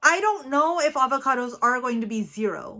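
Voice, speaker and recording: In a very clean recording with a silent background, a woman with a high pitch and a bright, sharp, animated tone uses a raised, projected voice with lively intonation at a moderate pace. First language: not English. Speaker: weight-loss vlogger. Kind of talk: casual vlog monologue. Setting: studio.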